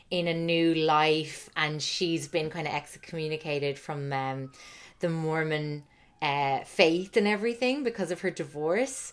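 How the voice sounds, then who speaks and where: A woman with an Irish accent speaks at a fairly low pitch and a fairly slow pace. The recording is very clean, with a silent background. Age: 30s. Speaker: author and podcaster. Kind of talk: casual chat.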